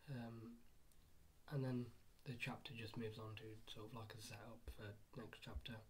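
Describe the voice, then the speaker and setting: Quiet speech at a moderate pace, broken by long, frequent pauses. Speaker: anime manga reviewer. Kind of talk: casual video review. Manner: halting, many fillers.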